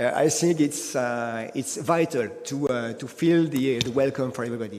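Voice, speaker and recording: A man speaks with a French accent and lively intonation. Noticeable background noise runs behind him. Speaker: energy company executive. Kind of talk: panel discussion. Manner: halting, many fillers.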